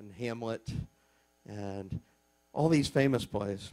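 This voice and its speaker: A man with a Texas accent and a medium pitch speaks at a fairly slow pace. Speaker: teacher. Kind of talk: casual lecture.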